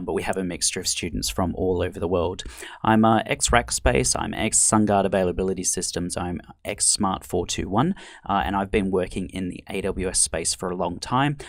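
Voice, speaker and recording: A man with a very deep, low pitch, vocal fry, and ordinary pitch variation talks at a fairly quick pace on a very clean recording with a silent background. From Australia and Britain. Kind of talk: professional, telling his work background.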